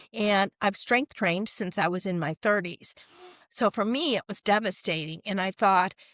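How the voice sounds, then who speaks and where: A woman with an unremarkable speaking voice talks at a moderate pace and medium pitch with ordinary pitch variation, in a dry, close sound with no echo and a very clean recording with a silent background. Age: 60s. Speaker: corporate wellness coach. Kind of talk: podcast interview.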